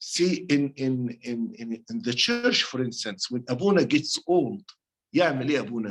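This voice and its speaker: Speaking in an Arabic accent at a moderate pace, this voice makes very wide pitch swings and leaves long, frequent pauses. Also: man, fairly high pitch for a man. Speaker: priest leading a bible study. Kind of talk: bible study teaching. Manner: halting, self-correcting.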